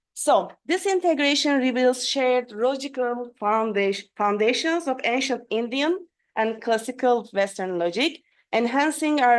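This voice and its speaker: A woman's high voice with lively intonation at a moderate pace, against a quiet background. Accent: Turkish. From Turkey. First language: Turkish. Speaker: philosophy professor. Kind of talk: academic conference talk. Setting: video call. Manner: halting.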